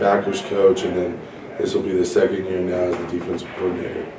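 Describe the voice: A man's voice carries a dark, mellow tone, with audible room echo around it.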